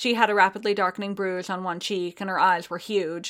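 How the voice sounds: The intonation stays fairly even. It is a natural reading voice.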